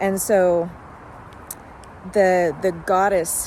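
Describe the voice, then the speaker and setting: Noticeable background noise and audible room echo both surround the woman who is talking. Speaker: spiritual channeler. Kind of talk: casual spiritual monologue. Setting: outdoors in a park.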